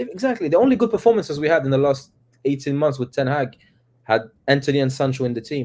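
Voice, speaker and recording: A man's fairly high-pitched voice at a very fast pace, with lively intonation. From Quebec, Canada (small francophone town). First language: French. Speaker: football fan panelist. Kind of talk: casual chat.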